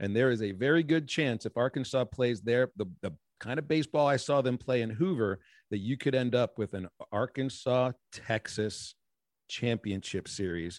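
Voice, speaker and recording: A man speaks in a plain, everyday voice at a medium pitch and a fairly slow pace, with ordinary pitch variation, recorded dry and close with no echo on a silent background. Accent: American. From Pittsburgh, Pennsylvania. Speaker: baseball play-by-play broadcaster. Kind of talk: interview conversation.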